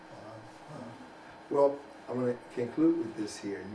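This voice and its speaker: Recorded with audible room echo and noticeable background noise, a man speaks with ordinary pitch variation. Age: 50s. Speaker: community news interviewer. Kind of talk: interview. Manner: halting, many fillers.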